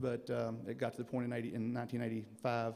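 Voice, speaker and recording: A man's very fast speech in monotone, flat intonation. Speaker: son of inductee giving acceptance speech. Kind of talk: acceptance speech. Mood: reflective, proud. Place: hall. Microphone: podium.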